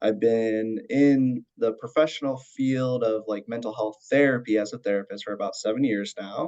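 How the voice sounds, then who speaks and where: This man speaks with an American accent at a fairly quick pace. His pitch is medium and his intonation fairly even. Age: 30s. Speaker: mental health counselor. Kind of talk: podcast interview. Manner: many fillers, halting.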